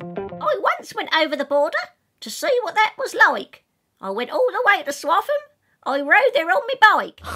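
Putting on a character voice with a Suffolk accent, a woman speaks at an extremely high pitch and a moderate pace, her pitch swinging very widely over faint background music.

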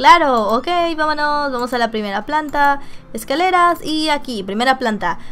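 Against faint background music, a woman speaks at a moderate pace with a high pitch and lively intonation. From Mexico. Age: 20s. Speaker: gaming streamer. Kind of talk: reading game dialogue aloud.

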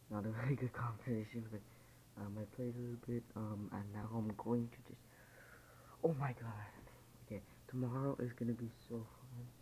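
The voice is somewhat breathy, with a dark, mellow tone and monotone, flat intonation, moving at a moderate pace broken by long, frequent pauses over light background noise. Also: man. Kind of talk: casual vlog chat. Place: home room. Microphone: phone near.

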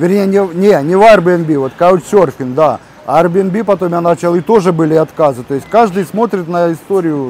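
A man speaks at a high pitch and a moderate pace with ordinary pitch variation. The sound is dry with no echo, over light background noise. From Ukraine. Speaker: travel vlogger. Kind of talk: casual chat. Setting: outdoors. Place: cafe. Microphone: camera far.

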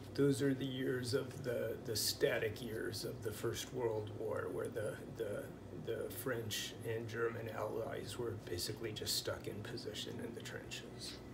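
A man with a Pacific Northwest accent at a fairly slow pace, over noticeable background noise. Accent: Pacific Northwest American English. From US Pacific Northwest. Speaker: language teacher. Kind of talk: tutorial. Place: home room. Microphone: phone near.

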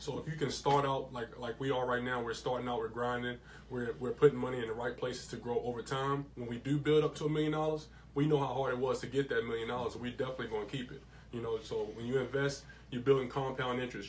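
The speech moves at a very fast pace in a monotone, flat intonation. Light background noise is present. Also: man. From Lexington, Kentucky; Kentucky. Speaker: crypto investor; radio show guest or host. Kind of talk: casual chat. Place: studio. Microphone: studio mic.

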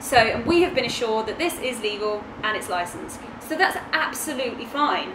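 Noticeable background noise behind a woman speaking at a fairly quick pace. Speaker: travel vlogger. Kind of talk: casual vlog chat. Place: home room. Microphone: camera far.

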